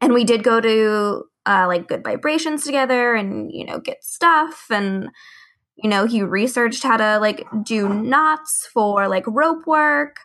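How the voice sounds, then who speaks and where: At a fairly slow pace, a woman with a fairly high pitch and lively intonation speaks in an unremarkable speaking voice. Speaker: podcast co-host. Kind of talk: interview.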